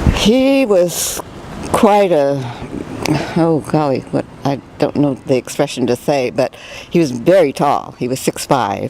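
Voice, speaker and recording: With an American accent, a woman speaks at a fairly slow pace in a very deep, low pitch amid noticeable background noise. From California, San Jose. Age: 70s. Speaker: retired dancer, widow of an actor. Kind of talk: interview.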